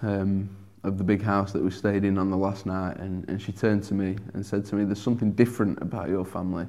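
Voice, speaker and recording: In a Sheffield accent, a man speaks at a moderate pace and a fairly low pitch. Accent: broad English (Sheffield). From Sheffield, northern England. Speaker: churchgoer sharing conversion story. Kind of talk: testimony. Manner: hesitant, many fillers.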